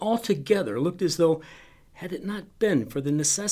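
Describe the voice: The speaker is doing plain reading aloud. Nothing else stands out.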